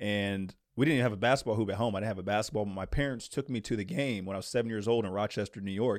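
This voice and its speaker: This man's fairly low voice moves at a very fast pace with hardly any pauses and ordinary pitch variation. The recording is very clean, with a silent background. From US East Coast, moved around. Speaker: former pro basketball player and basketball trainer. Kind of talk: casual interview.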